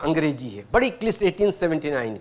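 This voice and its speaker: Lively intonation in a Bihari accent. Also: man. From Bhojpuri-speaking region, India. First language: Bhojpuri (speaking Hindi). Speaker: guest speaker, retired senior civil servant. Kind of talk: inspirational talk with personal anecdotes. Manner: conversational, with frequent hesitations.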